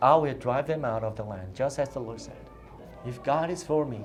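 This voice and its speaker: A man with a non-native accent speaks at a moderate pace and medium pitch, with ordinary pitch variation. Audible room echo surrounds his voice. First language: not English. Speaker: youth pastor. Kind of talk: sermon. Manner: animated.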